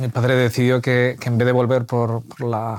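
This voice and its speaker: At a moderate pace, a man speaks at a medium pitch in a plain, everyday voice. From Spain. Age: 40s. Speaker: church member. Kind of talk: interview conversation. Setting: at home.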